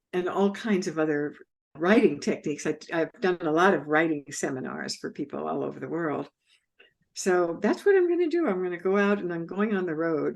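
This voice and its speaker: Speaking fairly quickly with vocal fry, a woman uses a fairly low pitch and ordinary pitch variation. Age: 80s+. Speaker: author and writing teacher. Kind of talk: interview.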